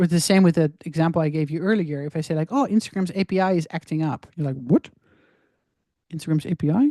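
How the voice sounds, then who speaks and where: A woman with a dark, mellow tone and fairly low pitch speaks very fast with ordinary pitch variation, the sound dry and close with no echo over a quiet background. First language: not English. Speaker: social media marketing coach. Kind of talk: online course lecture. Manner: casual, conversational.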